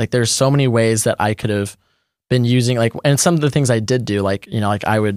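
At a fairly quick pace, someone with an American accent talks in a normal speaking voice, recorded very cleanly against a silent background. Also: man. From Texas. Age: 20s. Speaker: drone pilot. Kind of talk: casual interview. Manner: casual, filler-heavy.

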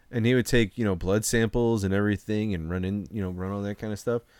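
A man speaks in a plain, everyday voice at a fairly low pitch, with fairly even intonation and a fairly quick pace. The recording is very clean, with a silent background. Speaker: podcast host. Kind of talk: casual chat over beers. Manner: casual, joking.

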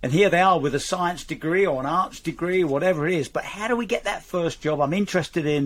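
A man is speaking. His pitch is high. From England, Romford. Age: 70s. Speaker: polar explorer and TV presenter. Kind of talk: casual interview.

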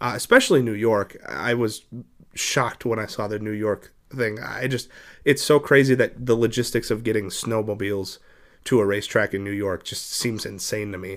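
A man's ordinary speaking voice, fairly low in pitch with fairly even intonation, at a moderate pace on a very clean recording with a silent background. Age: 20s. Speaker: podcast host and dirt track racer. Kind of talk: casual interview.

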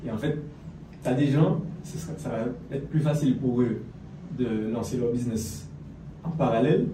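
Ordinary pitch variation, with audible room echo. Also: man. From French Antilles. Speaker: fitness and business coach. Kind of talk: casual interview.

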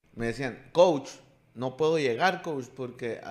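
At a moderate pace, with ordinary pitch variation, comes an unremarkable speaking voice. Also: man. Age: 40s. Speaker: podcast host and youth sports coach. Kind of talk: casual chat.

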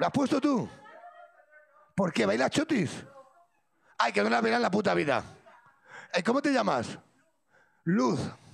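Pitched high for a man, his animated voice swings very widely in pitch at a moderate pace. Loudness stays very even, with long, frequent pauses. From Sierra de Madrid, Spain. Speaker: podcast host. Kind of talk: live show with audience. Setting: stage with audience.

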